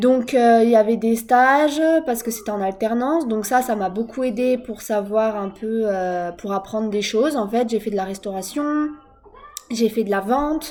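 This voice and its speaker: A woman's fairly high voice with ordinary pitch variation, at a fairly slow pace, over noticeable background noise. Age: 20s. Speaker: vlogger, young mother. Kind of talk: personal vlog monologue. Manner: hesitant, many fillers.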